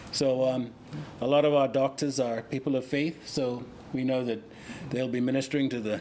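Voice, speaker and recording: Using long, frequent pauses, a man with a Bahamian accent speaks with fairly even intonation. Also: medium pitch for a man, moderate pace. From Bahamas. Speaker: relief coordinator. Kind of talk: casual interview. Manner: halting.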